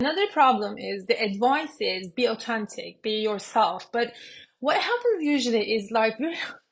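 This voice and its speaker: A woman speaks in a Turkish accent at a fairly slow pace. Her pitch is fairly high, with ordinary variation. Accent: Turkish-accented English, self-described. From Turkey. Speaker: business coach and YouTuber. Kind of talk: casual talk to camera. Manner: hesitant, many fillers.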